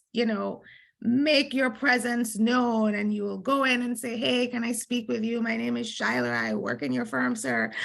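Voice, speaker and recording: Heard on a very clean recording with a silent background, a woman speaks with a Jamaican accent. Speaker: lawyer. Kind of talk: conference panel talk.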